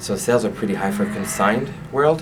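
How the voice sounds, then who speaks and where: A man talks at a fairly quick pace in a Quebec accent. Noticeable background noise and audible room echo are present. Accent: French Canadian accent in English. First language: French. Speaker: franchise owner. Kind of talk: interview. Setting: on camera interview. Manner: halting.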